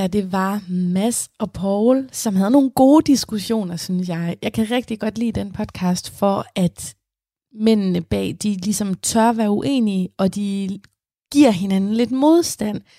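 A woman's somewhat breathy voice with a dark, mellow tone, ordinary pitch variation and a very slow pace, in a very clean, dry, close recording with a silent background and no echo. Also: medium pitch for a woman. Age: 20s. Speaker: radio host. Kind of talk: radio presenting. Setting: studio.

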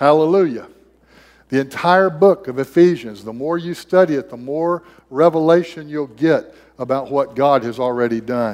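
An ordinary speaking voice: a man at a fairly high pitch and moderate pace, with ordinary pitch variation and big swings in loudness. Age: 60s. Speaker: missionary preacher. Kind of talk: sermon. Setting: church.

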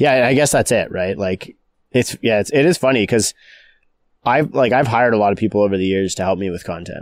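A man's fairly low-pitched voice at a fairly quick pace, in a very clean recording with a silent background. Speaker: podcast host, real estate broker. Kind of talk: casual conversational podcast. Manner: laid-back, fairly flat delivery.

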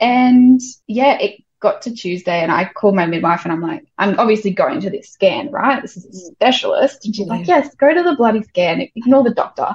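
With an Australian accent, a woman speaks at a moderate pace with hardly any pauses. Her fairly high voice has lively intonation and big swings in loudness. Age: 20s. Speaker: childcare worker and mother. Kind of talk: casual chat.

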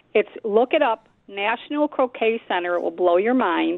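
A woman with a Buffalo accent and ordinary pitch variation. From Buffalo, New York. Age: 70s. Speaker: radio caller. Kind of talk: call-in chat. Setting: phone call.

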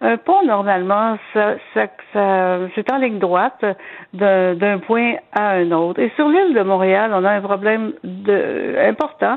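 Very slow speech from a woman at a fairly high pitch, with very even loudness. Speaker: historian. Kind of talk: casual history chat.

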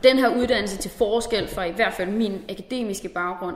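Noticeable background noise sits behind the recording. A woman speaks at a moderate pace with ordinary pitch variation. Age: 20s. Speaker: officer cadet. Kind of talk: recorded interview.

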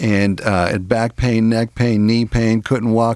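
Recorded very cleanly against a silent background, a man with a plain, everyday voice speaks at a medium pitch with fairly even intonation in a dry, close sound with no echo. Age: 50s. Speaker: natural health practitioner. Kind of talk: radio health talk.

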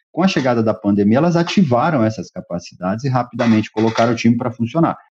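Somewhat breathy and fairly quick, a man talks at a medium pitch with very wide pitch swings. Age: 50s. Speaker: tech executive. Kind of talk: interview. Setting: remote call.

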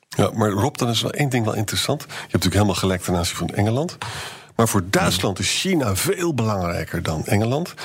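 Very fast and somewhat breathy, a man with a fairly low pitch makes very wide pitch swings. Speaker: historian, podcast co-host. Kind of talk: casual chat.

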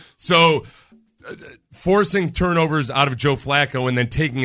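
With ordinary pitch variation, a man's speech comes across on a very clean recording with a silent background. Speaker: sports radio host. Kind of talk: heated sports debate. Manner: animated, opinionated.

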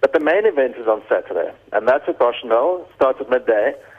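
A man talks in a normal speaking voice, with ordinary pitch variation at a moderate pace. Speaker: wine estate managing director. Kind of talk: radio interview. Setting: phone line.

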